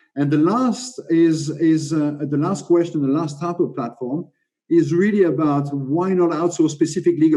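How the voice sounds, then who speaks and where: A man's dark, mellow tone, fairly high in pitch, with a French accent, at a moderate pace. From France. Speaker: legal tech panelist. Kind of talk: panel presentation. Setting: video call. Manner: halting, many fillers.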